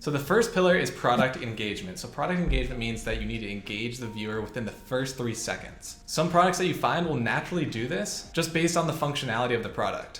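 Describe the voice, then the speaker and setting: Amid audible room echo and light background noise, a man speaks at a very fast pace. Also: lively intonation, hardly any pauses. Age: 20s. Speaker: e-commerce entrepreneur; e-commerce youtuber. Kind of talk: tutorial.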